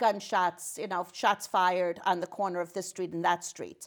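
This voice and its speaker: A woman with an American accent and medium pitch at a moderate pace, in a very clean recording with a silent background. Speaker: state senator and nurse. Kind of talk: interview. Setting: talk show. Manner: loud.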